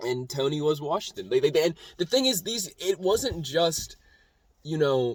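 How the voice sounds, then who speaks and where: A man's somewhat breathy voice with lively intonation, in a dry, close sound with no echo. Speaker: YouTuber. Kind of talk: casual monologue vlog. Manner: halting, stuttering; animated.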